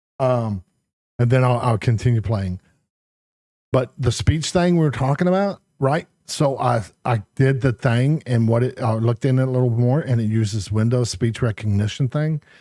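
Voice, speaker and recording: A man mumbles in a dark, mellow tone at a medium pitch and moderate pace, on a very clean recording with a silent background. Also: ordinary pitch variation, very even loudness. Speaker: gaming streamer. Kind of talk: casual live-stream chat. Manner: mumbling; halting.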